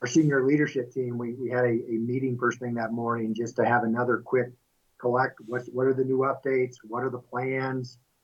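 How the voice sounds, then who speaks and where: A man talks in a Midwestern American accent at medium pitch. His intonation is monotone and flat. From US Midwest, central Kansas. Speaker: milling company executive. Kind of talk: interview.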